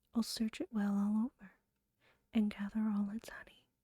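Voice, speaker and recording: The speaker whispers at a fairly slow pace, soft-spoken throughout. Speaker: ASMR creator. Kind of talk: poetry reading. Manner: whispered, soft-spoken.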